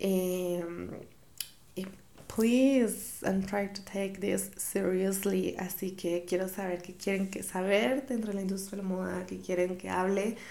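A woman speaks very slowly at a medium pitch, her intonation fairly even. Room echo is audible. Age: 20s. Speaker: podcast host, fashion creative director. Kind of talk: casual monologue.

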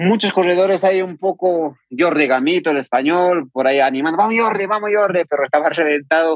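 Speaking at a fairly quick pace with hardly any pauses, a man uses a high pitch with ordinary pitch variation and very even loudness. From Peru, Andean highlands of Huancavelica. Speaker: trail runner. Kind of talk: interview.

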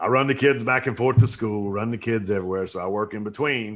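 In a Southern US accent, a man with a fairly low pitch and ordinary pitch variation talks at a very fast pace over a quiet background. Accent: Southern American. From US South, upstate South Carolina. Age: 40s. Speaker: soap business owner, Marine veteran. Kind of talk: casual interview chat.

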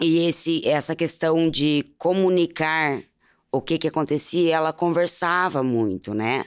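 A woman's very deep, low voice at a fairly slow pace, with very even loudness, ordinary pitch variation and a very clean recording over a silent background. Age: 40s. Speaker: mother of a murdered child. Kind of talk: emotional testimony. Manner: halting.

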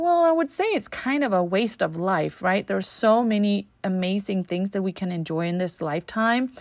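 A woman's medium-pitched voice with a Danish accent, lively intonation, a moderate pace and hardly any pauses, on a very clean recording with a silent background. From Denmark. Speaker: relationship coach podcaster. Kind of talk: solo podcast monologue. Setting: home recording with leaf blower outside. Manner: hesitant with fillers.

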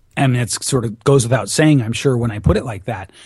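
A man speaks in a somewhat breathy voice. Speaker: public speaking and voice coach. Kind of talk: interview. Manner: animated.

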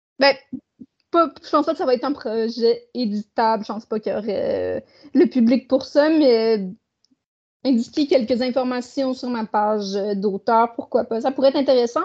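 A woman's high voice at a moderate pace, with ordinary pitch variation, long, frequent pauses and a quiet background. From Quebec, Saguenay. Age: 30s. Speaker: author and publisher. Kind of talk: interview.

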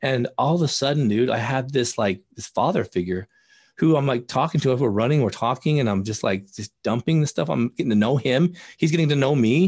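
A man with a medium pitch sounds somewhat breathy. His intonation is lively over a quiet background. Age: 40s. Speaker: addiction therapist and recovery coach. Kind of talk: casual interview. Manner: animated.

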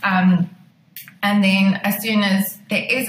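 The pace is fairly slow, with noticeable background noise. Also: woman. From South Africa, Pretoria. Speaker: wedding photographer. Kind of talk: interview chat.

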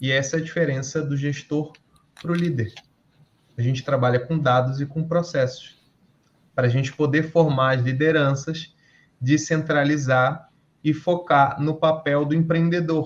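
A man's fairly high, somewhat breathy voice with fairly even intonation and long, frequent pauses. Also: moderate pace. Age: 30s. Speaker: entrepreneur and electrical engineer. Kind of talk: casual interview.

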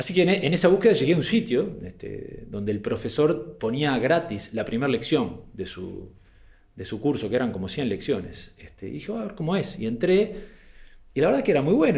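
A man speaks fairly quickly at a fairly high pitch, with vocal fry and audible room echo. His pitch swings very widely and his loudness rises and falls a lot. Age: 40s. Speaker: speaker on management and habits. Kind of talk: talk / presentation. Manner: hesitant, frequent fillers.

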